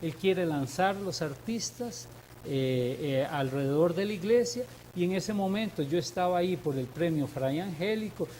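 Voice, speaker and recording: Over noticeable background noise, a man speaks at a high pitch. His pace is moderate and his intonation lively. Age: 60s. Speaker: sculptor. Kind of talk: interview. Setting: TV studio.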